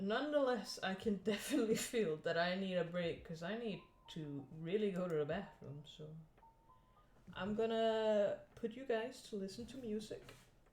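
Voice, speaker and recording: Music plays behind a woman speaking at a medium pitch and a moderate pace. Her intonation is lively and her loudness swings widely. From Scandinavia. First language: a Scandinavian language. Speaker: streamer and digital artist. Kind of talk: casual live stream chat while drawing.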